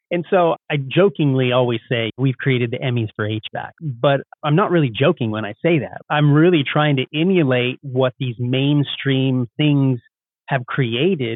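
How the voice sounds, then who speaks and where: With an unremarkable speaking voice, a man talks at a fairly high pitch and a moderate pace. His pitch varies in an ordinary way. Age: 40s. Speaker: HVAC contractor and business owner. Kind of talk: podcast interview. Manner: casual, conversational.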